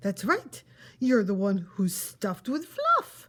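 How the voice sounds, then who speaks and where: A woman puts on a character voice at a medium pitch. She speaks fairly slowly. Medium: read story. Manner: exuberant, bouncy.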